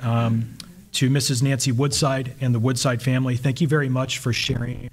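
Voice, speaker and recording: A somewhat breathy man with an American accent and monotone, flat intonation. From US South. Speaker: army officer and historian. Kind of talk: lecture. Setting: stage with audience. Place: hall. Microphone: podium.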